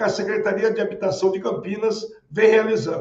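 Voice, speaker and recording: This man's speech shows ordinary pitch variation. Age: 60s. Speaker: city housing secretary, politician. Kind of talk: interview. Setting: remote interview. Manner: formal; hesitant fillers.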